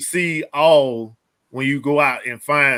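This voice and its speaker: A man with a Southern US accent speaks in a bright, sharp tone with ordinary pitch variation. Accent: country Southern. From Middle Georgia, US South. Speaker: reseller, military veteran. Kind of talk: casual chat.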